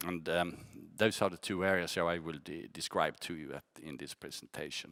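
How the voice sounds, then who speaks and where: A man's very deep, low voice carries a bright, sharp tone and vocal fry, with fairly even intonation but big swings in loudness. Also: fairly quick pace, very clean recording, silent background. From Skåne, southern Sweden. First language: Swedish. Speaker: company CEO. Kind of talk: investor presentation. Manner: halting, with fillers and repeats.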